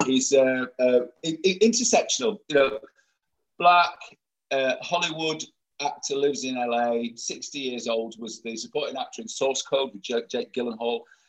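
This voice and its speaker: A man with an unremarkable speaking voice and a fairly high pitch talks at a moderate pace. His intonation is lively, and his loudness swings widely. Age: 50s. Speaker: LGBT event organiser. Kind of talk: interview.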